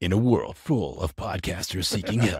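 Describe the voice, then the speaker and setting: Putting on a character voice, a man speaks with a fairly low pitch at a moderate pace. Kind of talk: dramatic.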